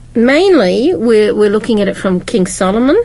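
A woman speaks over noticeable background noise. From Britain. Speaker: Bible study panelist. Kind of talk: group Bible study discussion.

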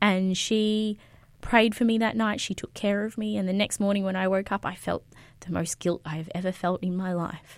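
An Australian-accented woman is talking. Her pitch is medium and her pace moderate. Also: very clean recording, silent background. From Queensland, Australia. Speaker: youth pastor. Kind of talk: interview testimony.

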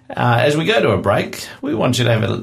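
With an Australian accent and ordinary pitch variation, a man speaks over noticeable background noise. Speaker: radio host. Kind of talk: radio interview. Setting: studio.

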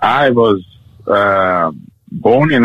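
A man's fairly low voice with a Zambian accent. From Zambia, Kitwe. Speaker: guest sharing life story. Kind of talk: interview testimony.

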